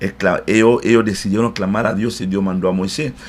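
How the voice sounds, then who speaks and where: Amid noticeable background noise, a man speaks at a medium pitch and moderate pace, with ordinary pitch variation. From DR Congo, Central Africa. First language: not Spanish; learned it in Cuba (speaking Spanish). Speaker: pastor. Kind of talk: interview. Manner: hesitant, frequent eh fillers.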